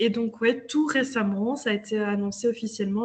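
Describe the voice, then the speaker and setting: Pitch variation here is ordinary. There is a somewhat breathy quality to the voice. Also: woman. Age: 30s. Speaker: local politician. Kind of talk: interview.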